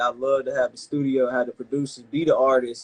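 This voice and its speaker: At a fairly quick pace, a man speaks at a medium pitch with a Carolina accent. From Carolina, US South. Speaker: rapper. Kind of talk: interview. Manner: casual, halting.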